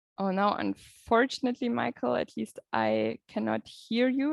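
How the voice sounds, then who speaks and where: A woman speaks with a German accent at a fairly slow pace. The sound is dry and close, with no echo. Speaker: event moderator. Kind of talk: moderated discussion. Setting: video call.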